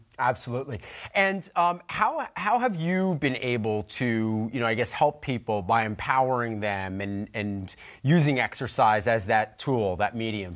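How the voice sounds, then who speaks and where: At a moderate pace, a man speaks with lively intonation against a quiet background. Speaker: fitness TV host. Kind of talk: TV fitness show. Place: studio. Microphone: lapel.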